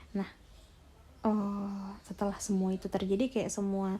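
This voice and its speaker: Dark and mellow in tone, this woman's voice is somewhat breathy. She speaks at a moderate pace with a medium pitch. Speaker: ASMR storyteller. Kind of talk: story narration (retelling a sent-in story).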